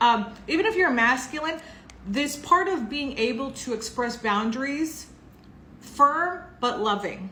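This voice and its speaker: With lively intonation and a high pitch, a woman uses a raised, projected voice amid audible room echo. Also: fairly slow pace. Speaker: tarot reader. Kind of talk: tarot reading monologue. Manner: casual, chatty.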